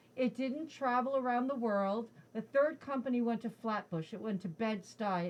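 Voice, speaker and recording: A woman with an American accent speaks in a plain, everyday voice, fairly high in pitch with ordinary pitch variation. Her pace is moderate, with hardly any pauses. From New Jersey. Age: 60s. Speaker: state politician. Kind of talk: interview.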